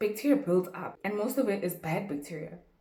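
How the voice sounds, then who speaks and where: Amid noticeable background noise and audible room echo, a woman speaks in an animated tone with lively intonation. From South Africa. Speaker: YouTuber. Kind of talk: casual tutorial.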